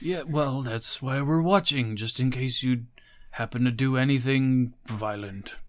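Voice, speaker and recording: A put-on character voice from a man, medium in pitch and moderate in pace. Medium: actual play. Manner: terse, matter-of-fact.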